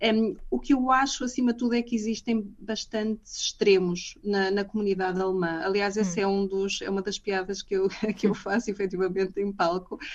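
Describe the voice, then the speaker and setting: Hardly pausing, a woman speaks at a moderate pace and medium pitch with fairly even intonation. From northern Portugal, Matosinhos. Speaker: comedian and business manager. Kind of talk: radio interview. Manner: halting, many fillers and repetitions.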